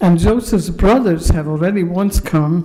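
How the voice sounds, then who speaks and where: Recorded with noticeable background noise and audible room echo, a woman with a Dutch accent speaks in a fairly low voice with ordinary pitch variation. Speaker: pastor and professor giving a sermon. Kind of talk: sermon. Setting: synagogue service, live-streamed.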